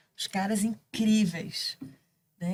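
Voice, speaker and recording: Somewhat breathy, a woman talks at a medium pitch with fairly even intonation. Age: 60s. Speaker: canoe athlete. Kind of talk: casual chat.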